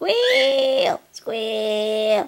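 A put-on character voice pitched fairly high. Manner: squealing.

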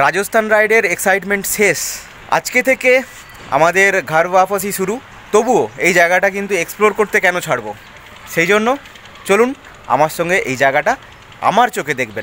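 The voice is raised and projected, with lively intonation. Light background noise sits underneath. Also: man. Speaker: travel vlogger. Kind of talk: casual vlog chat. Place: street. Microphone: phone near.

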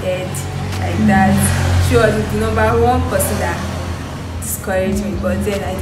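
A woman is speaking at a moderate pace. Music plays in the background. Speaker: interviewee. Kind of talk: interview answer. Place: home room.

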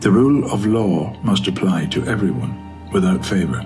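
A man with a Northern Irish accent talks at a moderate pace. Faint music plays in the background. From Belfast, Northern Ireland. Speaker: actor. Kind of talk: open letter reading. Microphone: phone near.

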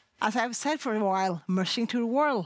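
A woman with a Norwegian accent sounds animated, her fairly high pitch moving with ordinary variation over a quiet background, the sound dry with no echo. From Norway. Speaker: sled dog racing commentator. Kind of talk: studio panel talk. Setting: studio. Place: studio. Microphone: headset.

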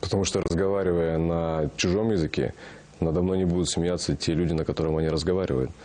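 A man speaks at a very fast pace with a very deep, low pitch. His dark, mellow tone holds a very even loudness. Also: fairly even intonation. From Kazakhstan. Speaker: actor. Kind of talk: interview. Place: studio. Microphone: lapel.

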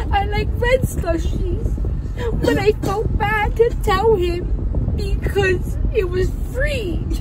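A woman's voice comes with noticeable background noise and a dry sound with no echo. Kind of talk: casual vlog chat. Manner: slurred, anesthesia-groggy, weepy post-surgery voice. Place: car. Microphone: phone near.

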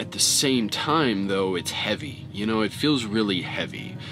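Over clear background music, a man talks at a moderate pace with a fairly low pitch and ordinary pitch variation. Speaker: truck driver vlogger. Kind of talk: casual vlog chat. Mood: reflective, somber. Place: car.

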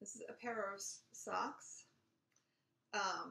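The voice has a bright, sharp tone, with audible room echo. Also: woman. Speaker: knitting podcast host. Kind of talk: casual vlog chat. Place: home room. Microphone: webcam.

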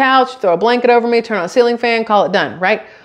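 Her speech races along very fast. Behind the woman, things stay quiet. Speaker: vlogger. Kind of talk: casual vlog chat. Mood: amused storytelling. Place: kitchen.

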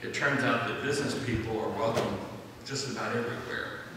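Strong room echo and noticeable background noise surround the voice. Its intonation stays fairly even. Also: man. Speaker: presenter. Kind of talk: church announcement talk. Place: church.

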